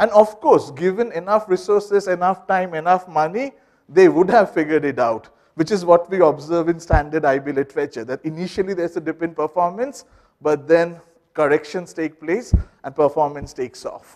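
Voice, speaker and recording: Over a quiet background, a man talks at a moderate pace in a high pitch with ordinary pitch variation. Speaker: business school researcher; presenter. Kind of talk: research seminar presentation. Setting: seminar room with microphone and audience. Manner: loud. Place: classroom.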